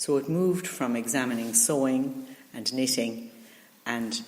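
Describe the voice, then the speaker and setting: A woman with an Irish accent speaks at a very deep, low pitch and a fairly slow pace, with ordinary pitch variation. There is audible room echo. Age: 60s. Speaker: retired teacher. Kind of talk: interview. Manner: hesitant, many fillers.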